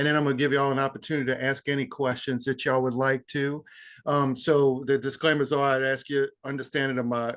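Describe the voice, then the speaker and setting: The speaker has a strong New Orleans accent and a monotone, flat intonation. The background is quiet. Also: man. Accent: heavy New Orleans Yat. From New Orleans, Louisiana. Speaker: funeral director and embalmer. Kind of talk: guest talk. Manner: casual, conversational.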